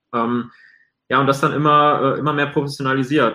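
Monotone, flat intonation at a fairly quick pace. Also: man. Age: 20s. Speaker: video agency owner and entrepreneur. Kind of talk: interview.

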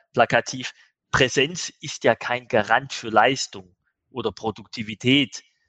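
The tone is bright and sharp, and the pace is very slow. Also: man, dry, close sound with no echo. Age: 50s. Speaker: managing director of an e-commerce agency. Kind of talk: podcast interview.

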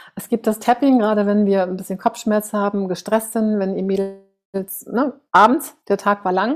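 This woman's voice sits at a medium pitch with flat, monotone intonation. She talks fairly slowly. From Germany. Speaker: face yoga coach, author. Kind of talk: interview, personal storytelling.

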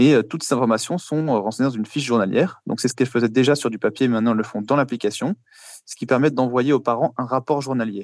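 The man speaks very fast at a medium pitch with ordinary pitch variation, in a very clean recording with a silent background. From France, Paris. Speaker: startup founder. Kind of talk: interview answers.

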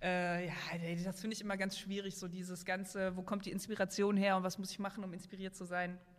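At a very fast pace, a woman speaks in a medium pitch with monotone, flat intonation. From western Germany, Oberbergisches Land near Cologne. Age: 30s. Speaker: maker and video creator. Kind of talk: casual chat.

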